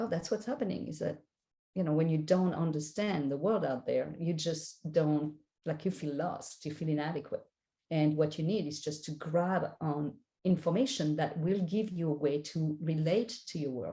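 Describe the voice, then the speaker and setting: A woman with a French accent speaks at a moderate pace in a very deep, low pitch, somewhat breathy and with a dark, mellow tone and ordinary pitch variation. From France. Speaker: spiritual guide and life coach. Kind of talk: interview.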